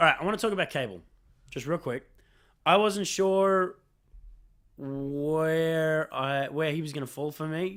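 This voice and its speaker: A man with an Australian accent speaks at a fairly slow pace and a fairly high pitch, with ordinary pitch variation and long, frequent pauses. The recording is very clean, with a silent background. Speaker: film podcast co-host. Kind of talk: casual debate about a film.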